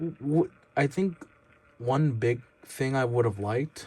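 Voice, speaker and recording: A man is speaking. His voice is somewhat breathy. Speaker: toy reviewer YouTuber. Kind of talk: product review. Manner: halting, stammering; casual, informal.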